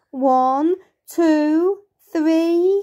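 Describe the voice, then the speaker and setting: A woman puts on a character voice at an extremely high pitch. Her intonation stays fairly even. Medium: read story. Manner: irritable, stubborn.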